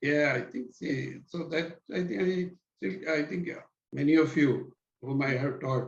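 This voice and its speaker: A man speaks at a fairly slow pace, with vocal fry in his voice. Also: fairly high pitch for a man, ordinary pitch variation. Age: 70s. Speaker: neurologist. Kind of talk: interview. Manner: halting.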